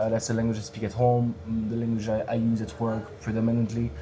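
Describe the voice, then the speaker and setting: Speech in a French accent comes at a very fast pace. Noticeable background noise is present. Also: man. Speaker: stand-up comedian. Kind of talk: casual interview chat. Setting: bar cellar podcast recording. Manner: halting, many fillers and repeats.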